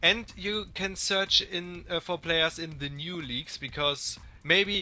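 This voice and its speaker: With music in the background, a man speaks at a fairly slow pace in a fairly high pitch. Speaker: gaming youtuber. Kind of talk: tutorial. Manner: some hesitations.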